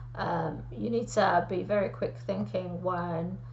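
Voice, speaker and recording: Audible room echo hangs around the speech. The woman talks at a very slow pace. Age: 50s. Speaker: aspiring medical student. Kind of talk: solo talk to camera.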